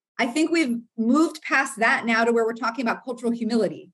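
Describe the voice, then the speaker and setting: Talking at a very fast pace, a woman with an American accent has a high pitch. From US South, Florida. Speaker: counseling professor. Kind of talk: interview.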